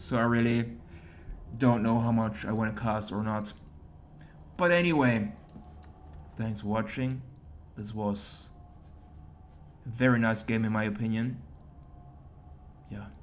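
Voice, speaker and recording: Speaking at a medium pitch with lively intonation, a man goes at a fairly slow pace with long, frequent pauses as room echo is audible. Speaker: esports caster. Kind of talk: game commentary.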